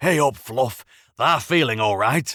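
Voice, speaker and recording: Putting on a character voice, a man speaks at a fairly slow pace and a medium pitch on a very clean recording with a silent background. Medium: read story. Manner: blunt, teasing.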